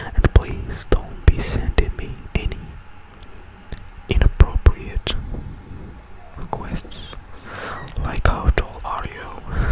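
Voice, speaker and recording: A man whispers, soft-spoken, at a very slow pace with long, frequent pauses. Loud background noise surrounds him. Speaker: ASMR content creator. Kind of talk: soft ASMR channel announcement. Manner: soft close-mic ASMR whisper. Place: home room. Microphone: studio mic.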